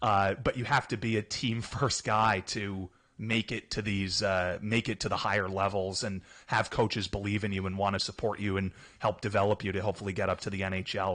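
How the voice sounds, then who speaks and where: A man with a New Jersey accent speaks at a fairly low pitch and moderate pace, his tone bright and sharp. His intonation is monotone and flat, against a quiet background. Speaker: hockey team staff member. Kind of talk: radio interview.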